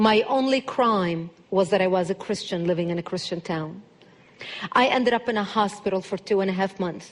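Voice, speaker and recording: A woman with an Arabic accent talks at a fairly quick pace. Her voice is medium in pitch, with ordinary pitch variation. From Lebanon. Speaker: public speaker on national security. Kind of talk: speech to an audience. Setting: church with live audience.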